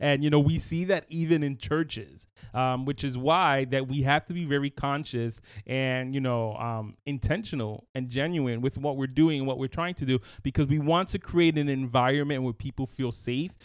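A man with an ordinary speaking voice talks at a moderate pace and a fairly high pitch. His pitch variation is ordinary, and the recording is very clean with a silent background. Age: 30s. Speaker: podcast co-host. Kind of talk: casual chat.

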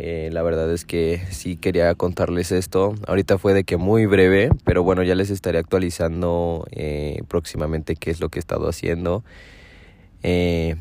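The speech goes at a moderate pace. Its intonation stays fairly even. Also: man. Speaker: podcaster. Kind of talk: casual monologue. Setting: in a parked car.

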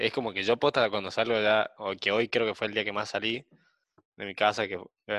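Against a quiet background, a man with a fairly low pitch and a bright, sharp tone sounds dry and close with no echo. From outside Buenos Aires. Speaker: podcast co-host, university student. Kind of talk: casual chat. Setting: video call.

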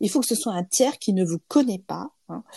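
Recorded dry and close with no echo, a woman speaks at a medium pitch with a dark, mellow tone and lively intonation. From France. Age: 50s. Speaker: lawyer and trainer. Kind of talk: interview testimony. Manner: halting.

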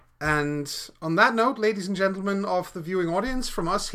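Lively intonation colors the speaker's unforced reading voice.

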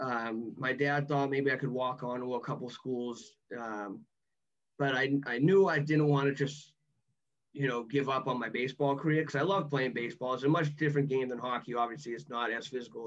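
A medium-pitched male voice with a strong Boston accent, moderate pace and fairly even intonation. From Massachusetts, Boston area. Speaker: former college athlete, guest. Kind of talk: casual interview, personal storytelling.

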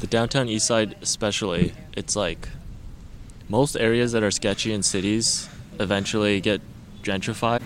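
A man speaks at a moderate pace with a fairly low pitch and fairly even intonation. Long, frequent pauses break his speech over noticeable background noise. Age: 20s. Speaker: photographer and engineering student. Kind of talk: casual chat. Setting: outdoors in a park.

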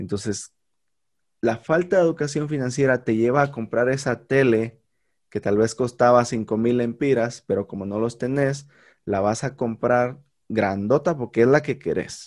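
Against a silent background in a very clean recording, a man with an unremarkable speaking voice talks at a medium pitch and a fairly slow pace with ordinary pitch variation. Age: 30s. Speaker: podcast host, teacher by profession. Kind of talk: casual conversation.

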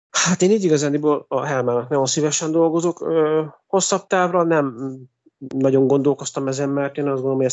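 This man talks at a fairly quick pace in a plain, everyday voice, fairly high-pitched, with ordinary pitch variation. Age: 40s. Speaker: music composer. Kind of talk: interview.

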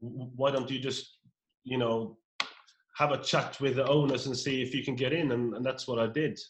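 Somewhat breathy, a man speaks at a medium pitch and a moderate pace with fairly even intonation. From rural Norway. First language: Norwegian. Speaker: pub owner. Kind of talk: casual interview. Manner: halting, frequent repetitions.

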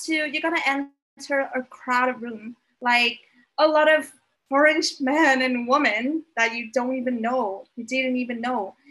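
This woman speaks with a Vietnamese accent and a bright, sharp tone. Her pitch is high, with ordinary pitch variation. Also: moderate pace. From Vietnam (Hanoi). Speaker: podcast guest. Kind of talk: casual interview chat. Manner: halting.

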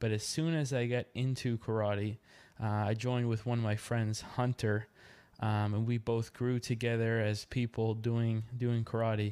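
With a Maritime Canadian accent, a man speaks in a dark, mellow tone at medium pitch and a moderate pace, his intonation monotone and flat. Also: very clean recording, silent background. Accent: Canadian (Maritimes). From Nova Scotia, Canada (Yarmouth). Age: 20s. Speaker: podcast host and amateur boxer. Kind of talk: solo podcast monologue. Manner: hesitant, many fillers.

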